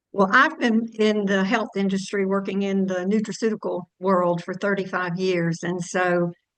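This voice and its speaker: With a normal speaking voice, a woman talks at a moderate pace in a medium pitch, keeping her intonation fairly even and hardly pausing at all. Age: 60s. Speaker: health product distributor. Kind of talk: testimony.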